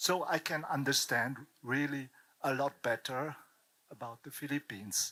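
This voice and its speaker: The pace is fairly slow. The tone comes across bright and sharp. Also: man. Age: 70s. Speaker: audience member. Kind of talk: audience comment. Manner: halting.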